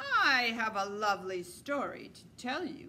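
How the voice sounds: Putting on a character voice, a woman with a fairly high pitch speaks fairly slowly with lively intonation and a hissing sound.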